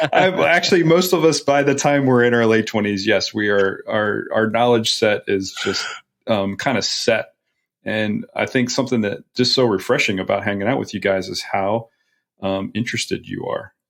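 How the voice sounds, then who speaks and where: A man speaks at a moderate pace with a plain, everyday voice, medium in pitch, and lively intonation. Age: 40s. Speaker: podcast host. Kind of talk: casual interview chat.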